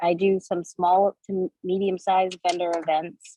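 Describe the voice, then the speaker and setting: At a fairly slow pace, a woman speaks with a Massachusetts accent. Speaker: direct sales consultant and teacher. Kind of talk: video call group chat. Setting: video call. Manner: halting.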